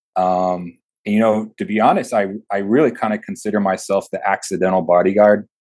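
Against a quiet background, a man with an American accent and a plain, everyday voice speaks at a fairly quick pace, with fairly low pitch and fairly even intonation. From Texas. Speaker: corporate security manager and Marine veteran. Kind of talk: interview. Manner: casual.

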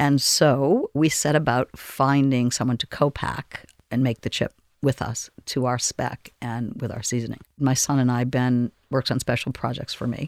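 A woman with an American accent speaks at a very deep, low pitch in a monotone, flat intonation, with a dry, close sound and no echo. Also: moderate pace. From Boston, Massachusetts. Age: 60s. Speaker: restaurateur. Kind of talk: casual interview.

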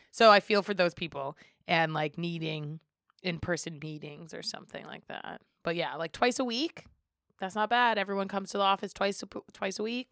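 A woman with an American accent and an unremarkable speaking voice, medium pitch, ordinary pitch variation, moderate pace, big swings in loudness, and a dry, close sound with no echo. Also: very clean recording, silent background. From Western Massachusetts (Springfield). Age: 30s. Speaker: community organization co-founder. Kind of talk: casual chat.

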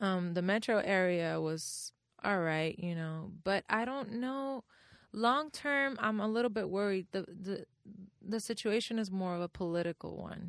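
Speaking at a fairly slow pace with a Spanish accent, a woman has a medium pitch and ordinary pitch variation, recorded very cleanly with a silent background and a dry, close sound with no echo. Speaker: musician and climate activist. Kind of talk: casual interview. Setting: studio.

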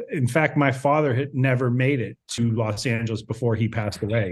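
Here is an unremarkable speaking voice: a man with an American accent, at a medium pitch with ordinary pitch variation. He talks at a moderate pace against a quiet background. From small town in Ohio. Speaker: podcaster. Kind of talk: casual chat.

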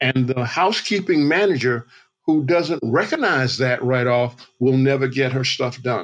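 A man speaks at a moderate pace with a medium pitch. His loudness stays very even, and his pitch varies in an ordinary way. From US South, Georgia. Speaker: motivational speaker. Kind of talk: interview. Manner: halting.

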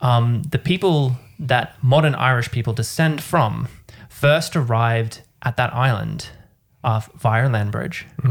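Somewhat breathy, a man speaks with an Australian accent at a fairly slow pace. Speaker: podcast co-host. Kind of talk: casual chat.

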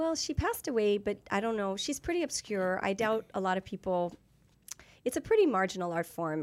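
A woman with a normal speaking voice talks at a fairly quick pace, her intonation lively. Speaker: actress and dancer. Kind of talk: casual interview chat. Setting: studio.

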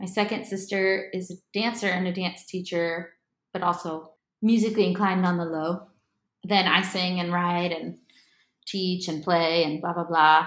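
With an American accent, the voice runs in a monotone with flat intonation. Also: woman, medium pitch for a woman, moderate pace. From Miami, Florida. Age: 20s. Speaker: singer-songwriter. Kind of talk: casual chat. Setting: living room at home.

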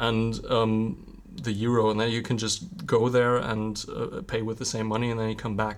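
Moderate in pace, a man talks with hardly any pauses. His pitch is medium, with ordinary variation. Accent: German. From Germany, Ruhr area (Witten). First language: German. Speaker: university project officer. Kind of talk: casual interview chat.

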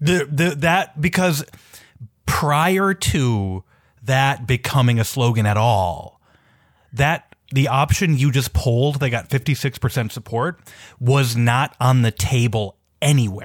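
A somewhat breathy man at a very slow pace, with lively intonation and very even loudness, in a very clean recording with a silent background. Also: medium pitch for a man. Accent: American. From Minneapolis, US Midwest. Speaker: journalist and newsletter writer. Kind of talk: casual political discussion.

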